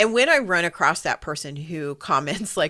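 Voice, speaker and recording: A woman talks at a moderate pace. The sound is dry and close with no echo, though background noise is noticeable. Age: 50s. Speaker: podcast co-host and business coach. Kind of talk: casual chat.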